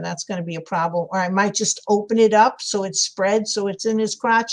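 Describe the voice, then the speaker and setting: In a New York accent, the speaker goes at a fairly quick pace with monotone, flat intonation. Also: woman. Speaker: crafter livestreaming a sculpting tutorial. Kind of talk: casual live-stream tutorial with chat. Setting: live stream. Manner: chatty, thinking aloud.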